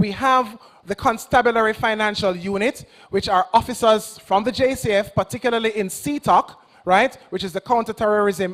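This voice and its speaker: A man speaks in a Jamaican accent with an animated tone. His pace is moderate and his pitch variation ordinary. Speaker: agency representative. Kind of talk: public presentation to young audience.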